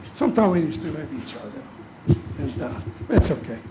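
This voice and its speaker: There is audible room echo and noticeable background noise. Over it, a man with an Italian accent speaks in a high pitch. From Italy. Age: 70s. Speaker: mayor. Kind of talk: inauguration speech. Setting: ceremony with audience. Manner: halting.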